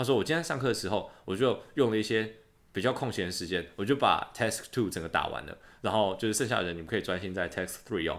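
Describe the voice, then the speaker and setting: In a Taiwanese accent, a man talks at a very fast pace with lively intonation and a fairly low pitch, on a very clean recording with a silent background. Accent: Taiwanese Mandarin. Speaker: podcast host, exchange student. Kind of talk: casual chat. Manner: animated.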